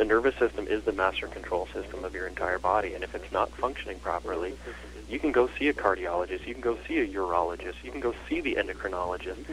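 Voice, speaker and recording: With a slight Canadian accent, a man talks very fast against noticeable background noise. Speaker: chiropractor. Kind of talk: interview.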